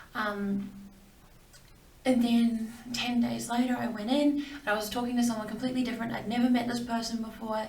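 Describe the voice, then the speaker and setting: A woman with an Australian accent talks at a fairly quick pace and a fairly high pitch in a monotone, flat delivery, with audible room echo and noticeable background noise. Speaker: video blogger sharing cancer story. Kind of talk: personal testimony. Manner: hesitant, many fillers.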